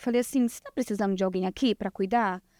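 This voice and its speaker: Recorded very cleanly against a silent background, dry and close with no echo, a woman speaks fairly quickly in a dark, mellow tone with ordinary pitch variation. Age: 20s. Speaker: lash designer. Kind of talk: podcast interview.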